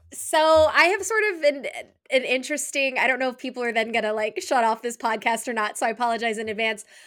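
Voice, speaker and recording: A high-pitched woman's voice at a very fast pace, with ordinary pitch variation, on a very clean recording with a silent background. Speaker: film podcaster. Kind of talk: casual chat.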